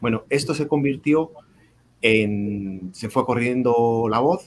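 Very slowly, a man speaks in a Castilian accent with ordinary pitch variation. Light background noise is present. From Spain. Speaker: reading mediator and cultural manager; guest. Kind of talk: storytelling; casual panel conversation. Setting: video call. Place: home room. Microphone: video call.

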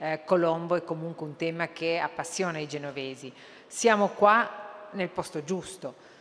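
A woman with a fairly low pitch speaks in a normal speaking voice with fairly even intonation. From Uruguay. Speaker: cultural institution director; conference speaker. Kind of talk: conference speech. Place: hall. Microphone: podium.

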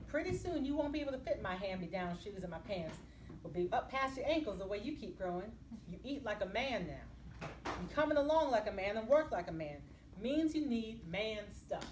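Her pitch swinging very widely, a woman talks in an animated tone at a fairly quick pace and fairly high pitch, with light background noise. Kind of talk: audiobook-style reading aloud of a novel; book reading. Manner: animated, shifts between character voices; conversational, storytelling, dialect-heavy first person narration. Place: hall. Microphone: camera far.

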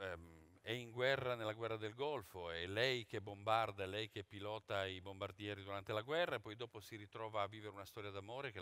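Here is a man with an ordinary speaking voice, fairly low in pitch with ordinary pitch variation. His pace is moderate and the sound is dry, without echo. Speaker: theatre director. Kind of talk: press conference presentation. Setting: theatre stage with press audience. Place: stage.

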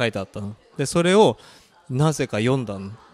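A man speaks at a moderate pace with very wide pitch swings in a dry sound with no echo. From Japan, raised by Korean parents. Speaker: guest. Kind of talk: casual interview. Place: home room. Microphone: handheld.

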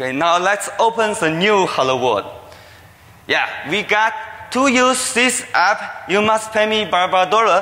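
Raising and projecting his high-pitched voice, a man with a Chinese accent speaks at a fairly slow pace with lively intonation and very even loudness. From China. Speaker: security researcher. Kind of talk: conference talk. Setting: stage with audience. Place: hall. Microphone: podium.

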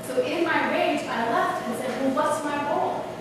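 Someone with an American accent talks at a moderate pace over noticeable background noise in a room with strong echo. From New York. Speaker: conference speaker and moderator. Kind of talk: public talk. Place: hall.

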